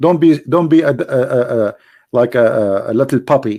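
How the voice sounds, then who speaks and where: On a very clean recording with a silent background, a man with an Arabic accent speaks with ordinary pitch variation. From Middle East. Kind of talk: religious teaching talk. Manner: halting, many repetitions.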